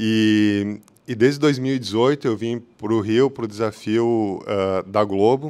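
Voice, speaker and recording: A man speaks with a fairly low pitch and fairly even intonation. The recording is very clean, with a silent background. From southern Brazil, Porto Alegre. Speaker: technology executive. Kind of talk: conference talk. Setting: hybrid meetup event. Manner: halting, many fillers.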